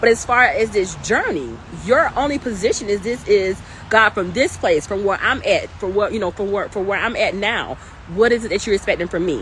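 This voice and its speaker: A woman speaks in an animated tone at a fairly quick pace and a medium pitch. Her pitch variation is ordinary, with noticeable background noise. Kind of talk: livestream talk. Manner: loud.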